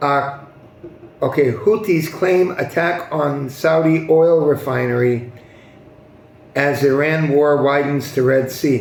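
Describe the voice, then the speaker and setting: Speaking at a very slow pace with long, frequent pauses, this voice has an American accent and fairly even intonation, with noticeable background noise and audible room echo. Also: man, fairly high pitch for a man. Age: 60s. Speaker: news commentary youtuber. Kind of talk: news commentary monologue. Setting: hot non-air-conditioned building. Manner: hesitant, many fillers.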